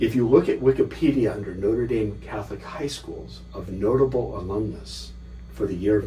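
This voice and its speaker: The man has an American accent. His voice carries audible room echo. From US West Coast, Los Angeles. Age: 60s. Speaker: scholar and author. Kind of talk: interview.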